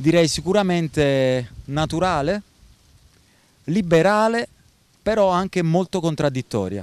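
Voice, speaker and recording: Leaving long, frequent pauses, a man with a high voice and lively intonation speaks in a dry sound with no echo. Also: fairly slow pace. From Naples, southern Italy; southern Italy. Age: 40s. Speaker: expat rental manager; interviewee. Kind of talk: interview. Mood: calm, measured. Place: beach. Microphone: handheld.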